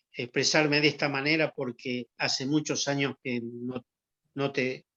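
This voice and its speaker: The sound is dry and close, with no echo. A man speaks in a fairly high voice with fairly even intonation. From Argentina. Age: 70s. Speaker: former athlete. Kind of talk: interview testimony. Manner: halting with repetitions.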